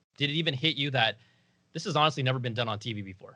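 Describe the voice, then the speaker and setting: A medium-pitched man with an American accent and ordinary pitch variation. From Northern California, Bay Area. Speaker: interviewer and channel host. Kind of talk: interview. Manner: animated, conversational.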